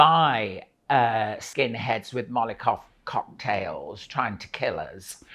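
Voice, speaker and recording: The speech moves at a very slow pace in a Lincolnshire accent. The background is quiet. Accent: northern English (Lincolnshire). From Grimsby, England. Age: 60s. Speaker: actress and singer. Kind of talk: interview answer. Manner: humorous.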